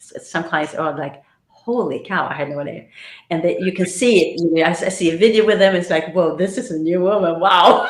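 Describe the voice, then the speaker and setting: With audible room echo, a woman talks at a very fast pace in a fairly low pitch. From Sweden. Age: 60s. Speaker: astrologer and life coach. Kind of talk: podcast interview.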